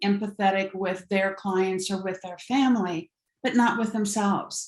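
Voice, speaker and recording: A woman speaks at a moderate pace, somewhat breathy. Her pitch varies in an ordinary way. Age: 70s. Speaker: empowerment coach. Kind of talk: podcast interview.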